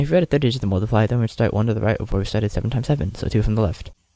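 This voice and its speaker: His voice comes across somewhat breathy. The man talks at a very fast pace. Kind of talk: math tutorial narration.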